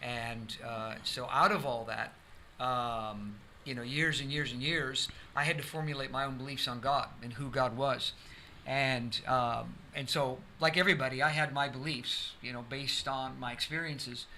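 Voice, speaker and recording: There is audible room echo around a man with an American accent. His medium-pitched voice has a bright, sharp tone and fairly even intonation. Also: moderate pace. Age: 60s. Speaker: pastor. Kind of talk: testimony. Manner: halting.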